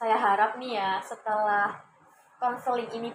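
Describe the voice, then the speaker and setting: A woman with an ordinary speaking voice talks at a fairly slow pace, her fairly high pitch showing ordinary variation. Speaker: counseling student acting as counselor. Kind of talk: counseling session role-play. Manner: warm, encouraging.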